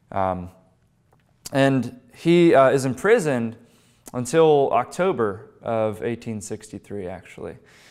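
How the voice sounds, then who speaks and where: A man with an American accent speaks very slowly at a medium pitch, with lively intonation and big swings in loudness. The background is quiet. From western Pennsylvania, Pittsburgh; Pennsylvania. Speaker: history speaker, former battlefield guide; speaker, former battlefield guide. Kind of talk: public history lecture. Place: meeting room. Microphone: lapel.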